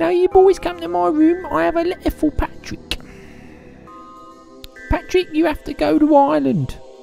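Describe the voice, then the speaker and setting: A man puts on a character voice at an extremely high pitch. Clear music plays in the background. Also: moderate pace. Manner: warm, chatty.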